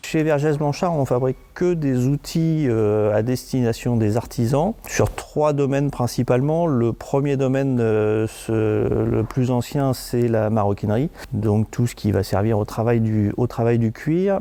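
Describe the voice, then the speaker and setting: A man speaks at a very slow pace with very even loudness. Noticeable background noise is present. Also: medium pitch for a man, ordinary pitch variation, hardly any pauses. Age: 50s. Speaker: company director. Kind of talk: interview. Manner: halting, many hesitations.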